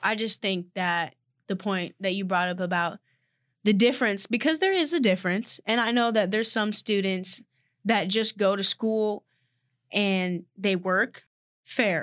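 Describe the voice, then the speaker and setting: In a plain, everyday voice with an American accent, a woman speaks at a fairly slow pace and medium pitch with ordinary pitch variation, the sound dry and close with no echo against a quiet background. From Texas, Austin. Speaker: college athlete and podcast co-host. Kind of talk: casual chat.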